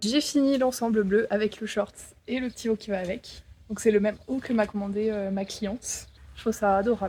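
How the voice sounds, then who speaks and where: The voice has a dark, mellow tone, somewhat breathy, moving at a fairly quick pace with fairly even intonation. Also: woman. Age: 20s. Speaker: handmade clothing designer. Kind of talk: casual vlog talk to camera.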